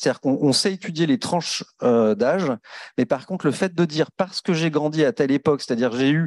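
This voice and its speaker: In a dry, close sound with no echo and a quiet background, a man speaks fairly quickly at a fairly high pitch with lively intonation. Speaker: housing association director, panelist. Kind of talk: round table discussion. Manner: fast; many hesitations and fillers.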